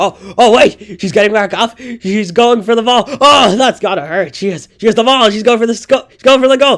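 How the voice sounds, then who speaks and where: A man in a cartoonish character voice, extremely high-pitched, with an excited tone and a fairly quick pace. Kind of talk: excited sports commentary. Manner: excited, fast.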